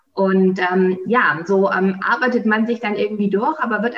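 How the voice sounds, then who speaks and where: A woman talks with ordinary pitch variation against noticeable background noise. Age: 30s. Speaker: company founder. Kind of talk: interview. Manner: hesitant, many fillers.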